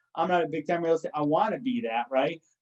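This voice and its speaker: Energetic in tone, a man with a fairly high pitch speaks at a very fast pace. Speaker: marketing entrepreneur and podcaster. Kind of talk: casual chat.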